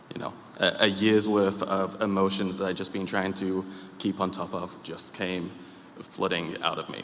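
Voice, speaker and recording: Through audible room echo, a man with a very deep, low pitch talks at a moderate pace in a monotone, flat intonation. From UK. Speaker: church member. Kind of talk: testimony. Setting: church. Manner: halting, many fillers.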